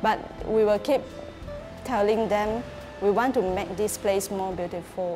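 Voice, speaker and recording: A woman's fairly slow, fairly even speech over clear music in the background. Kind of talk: interview answer. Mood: warm, proud. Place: cafe.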